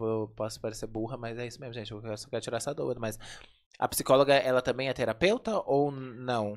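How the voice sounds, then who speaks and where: Against a quiet background, the speech runs at a fairly quick pace. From Brazil. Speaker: podcast host. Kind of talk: casual chat. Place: studio. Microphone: studio mic.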